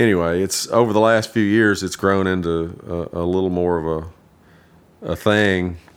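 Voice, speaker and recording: A man speaks at a moderate pace with an Appalachian accent. His voice is very deep and low, with fairly even intonation. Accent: Southern US (Appalachian). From East Tennessee, US (Kingsport). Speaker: bluegrass bass player and farmer. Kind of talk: casual interview chat.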